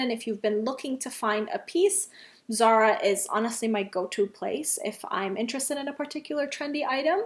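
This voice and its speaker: Recorded very cleanly against a silent background, a woman speaks with lively intonation. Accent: non-native. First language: not English. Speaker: fashion vlogger. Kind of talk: casual vlog talk to camera. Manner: chatty, many fillers.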